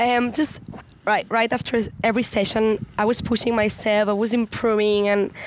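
Speaking at a moderate pace, a woman with a Spanish accent uses a fairly high voice. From Spain. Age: 20s. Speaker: pro kiteboarder. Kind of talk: casual interview.

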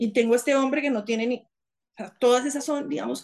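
Fairly high in pitch, a woman with an ordinary speaking voice uses fairly even intonation over a quiet background. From Colombia, Bogotá. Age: 40s. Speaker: former government chief of staff, lawyer. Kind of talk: interview conversation.

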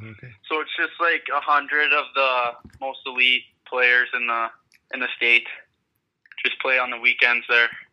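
With an American accent, a man speaks slowly and in a monotone, flat way at medium pitch, his loudness swinging widely between long, frequent pauses. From Minnesota. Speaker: junior hockey player. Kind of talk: casual interview. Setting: phone call.

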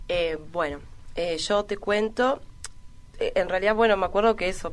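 A woman's ordinary speaking voice at medium pitch and a moderate pace. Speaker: rapper. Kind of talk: interview chat.

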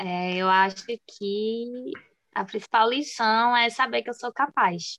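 Here a woman speaks at a very slow pace in a fairly high pitch with ordinary pitch variation. Her tone is bright and sharp, and the sound is dry and close with no echo. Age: 20s. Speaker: dental student and dessert shop owner. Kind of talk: interview.

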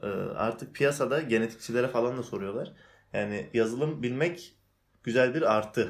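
This man has a normal speaking voice at a medium pitch. His pitch varies in an ordinary way. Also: moderate pace. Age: 20s. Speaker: cyber security specialist. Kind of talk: casual chat.

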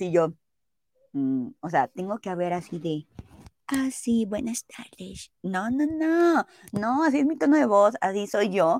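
In a dry, close sound with no echo, a woman with a fairly high pitch speaks at a fairly slow pace through very wide pitch swings. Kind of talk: casual chat. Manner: loud.

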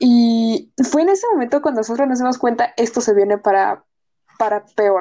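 With a fairly high pitch, ordinary pitch variation and very even loudness, a woman speaks at a moderate pace in a dark, mellow tone. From Mexico. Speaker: university student, podcast co-host. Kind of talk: casual chat.

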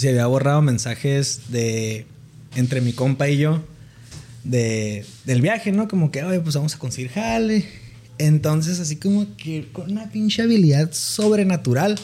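A man's dark, mellow, somewhat breathy voice at a fairly high pitch, with very wide pitch swings and a fairly slow pace. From Mexicali, Baja California, Mexico. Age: 20s. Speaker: economist. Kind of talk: casual chat.

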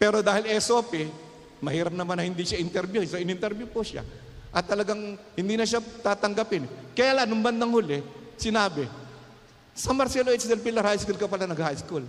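A man's high-pitched voice at a fairly quick pace with ordinary pitch variation. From Philippines, Calumpit, Bulacan. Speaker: pastor. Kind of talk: sermon.

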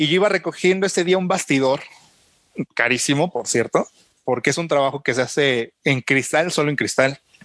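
The voice, in a Mexican accent, sounds dry and close with no echo. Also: man, fairly high pitch for a man, ordinary pitch variation, moderate pace. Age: 30s. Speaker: photographer. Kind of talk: casual chat.

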